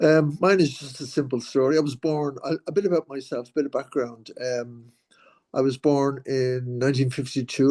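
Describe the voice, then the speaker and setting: In a quiet background with a dry, close sound and no echo, a man with an Irish accent speaks at a fairly high pitch in a dark, mellow tone. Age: 70s. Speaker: patient advocate. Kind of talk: testimony. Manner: halting.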